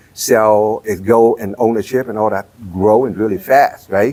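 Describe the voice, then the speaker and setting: In a Vietnamese accent, a man speaks with a dark, mellow tone and fairly low pitch. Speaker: real estate entrepreneur. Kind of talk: interview. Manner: halting.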